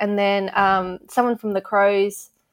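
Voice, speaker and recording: A woman speaks with an Australian accent at a medium pitch and a moderate pace. Her intonation is monotone and flat, and the recording is very clean with a silent background. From Adelaide, South Australia. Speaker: sports social media manager. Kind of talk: interview. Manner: hesitant, many fillers.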